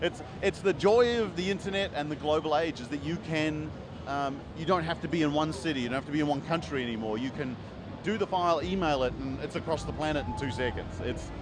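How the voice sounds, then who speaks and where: Against noticeable background noise, a man with a New Zealand accent speaks at a very fast pace in a fairly high voice with lively intonation. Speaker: comic book publisher and writer. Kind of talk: interview. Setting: convention floor. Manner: hesitant, many fillers.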